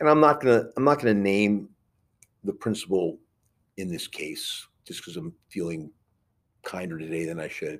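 A man with an American accent speaks at a moderate pace in a medium pitch, with very wide pitch swings. The recording is very clean with a silent background. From New York (Queens). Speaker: school board member and Marine veteran. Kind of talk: podcast interview.

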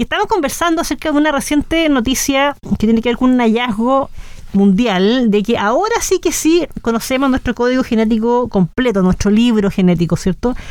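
A high-pitched woman's voice at very even loudness and a fairly quick pace, with noticeable background noise. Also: lively intonation. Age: 30s. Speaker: radio host. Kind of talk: casual interview. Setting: radio studio.

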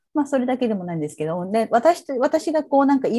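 Her tone dark and mellow, a woman speaks with very wide pitch swings. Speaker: psychotherapist and social worker. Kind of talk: interview. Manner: hesitant, many fillers.

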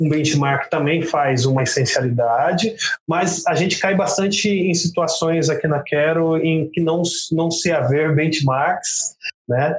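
Very slowly and at very even loudness, a man speaks at a fairly high pitch with ordinary pitch variation. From rural São Paulo state, Brazil. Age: 30s. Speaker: product manager. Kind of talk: interview. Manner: halting, many fillers.

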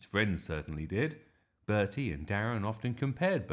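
This is a natural reading voice heard against a quiet background.

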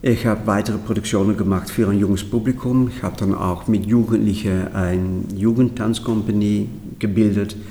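A man's fairly low, dark and mellow voice in a flat monotone, at a moderate pace, with audible room echo. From Netherlands. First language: Dutch (speaking German). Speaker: choreographer. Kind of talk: interview.

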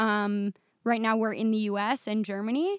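A woman with a Midwestern American accent speaks at a moderate pace in a fairly high pitch. The recording is very clean with a silent background, and the sound is dry and close with no echo. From Michigan, US Midwest. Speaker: software developer. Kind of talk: casual interview.

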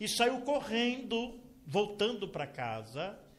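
An extremely high-pitched male voice at a very slow pace, with ordinary pitch variation. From Brazil, São Paulo state. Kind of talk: testimony.

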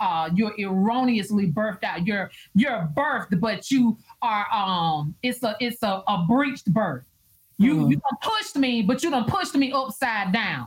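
Speaking at a moderate pace, a woman has a fairly high, somewhat breathy voice and lively intonation. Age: 40s. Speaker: minister and prophetess. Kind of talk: casual chat. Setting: live video stream.

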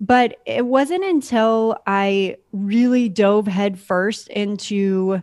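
A woman with a fairly high pitch speaks with a Californian accent. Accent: Californian American. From US West Coast, San Diego. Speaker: podcast operations manager. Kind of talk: interview.

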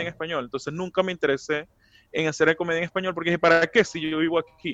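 Speaking very fast at a high pitch, a man with a Venezuelan accent has a bright, sharp tone in a dry, close sound with no echo. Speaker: comedian. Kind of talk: casual chat.

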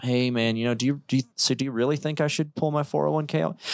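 On a very clean recording with a silent background and a dry, close sound with no echo, a man with an unremarkable speaking voice and an American accent talks at a fairly quick pace and medium pitch, with ordinary pitch variation. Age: 30s. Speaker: real estate investor. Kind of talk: casual chat. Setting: studio.

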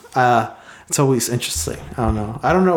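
His delivery races along very fast. The intonation rises and falls in a lively way. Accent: American. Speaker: podcast host. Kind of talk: casual interview chat.

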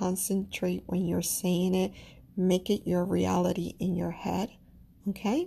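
Somewhat breathy and dark, mellow in tone, a woman's medium-pitched voice unfolds at a fairly slow pace. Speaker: astrology podcaster. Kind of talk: solo podcast monologue with affirmations. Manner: warm, gentle.

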